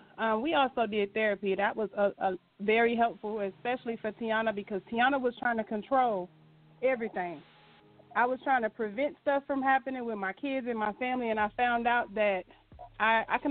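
Over music in the background, a woman with a fairly high pitch talks fairly quickly, her pitch varying in an ordinary way. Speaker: church member. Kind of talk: testimony. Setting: phone call.

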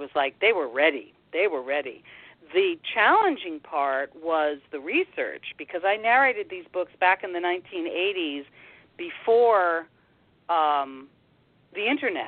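An ordinary speaking voice from a woman, fairly low in pitch, with lively intonation at a fairly slow pace. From Washington, D.C. area (Air Force family, moved around). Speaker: actress and audiobook narrator. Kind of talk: interview.

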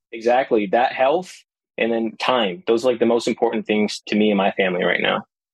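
An unremarkable speaking voice from a man with an American accent, medium pitch, ordinary pitch variation and very even loudness. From US West, Las Vegas. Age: 30s. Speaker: tech worker and real estate investor. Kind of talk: podcast interview.

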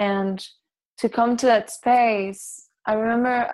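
In a Spanish accent, the speaker talks at a very slow pace with monotone, flat intonation over a quiet background. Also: woman. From Barcelona, Spain; raised in Dominican Republic. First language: Catalan. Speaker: yoga and meditation teacher. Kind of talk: casual chat.

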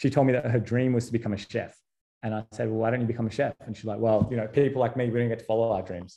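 A man's medium-pitched voice with an Australian accent and a dark, mellow tone. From Australia, Sydney. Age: 30s. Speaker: entrepreneur. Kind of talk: casual chat.

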